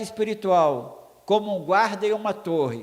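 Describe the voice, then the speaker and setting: Ordinary pitch variation comes through at a very slow pace. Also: man. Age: 60s. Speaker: preacher. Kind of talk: sermon.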